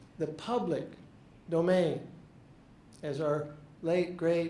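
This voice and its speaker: Over noticeable background noise and audible room echo, a man speaks in a high voice. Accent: American. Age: 70s. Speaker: retired English professor. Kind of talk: talk to an audience. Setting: stage with audience.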